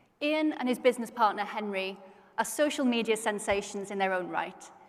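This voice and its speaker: A woman with a British accent, a fairly high pitch, ordinary pitch variation and a moderate pace. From Britain. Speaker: conference host. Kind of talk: stage interview. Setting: stage with audience.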